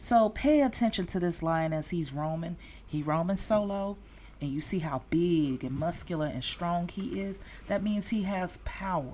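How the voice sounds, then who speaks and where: A woman's fairly low, somewhat breathy voice with a dark, mellow tone, a Southern US accent, lively intonation and a moderate pace. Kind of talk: casual talk to camera.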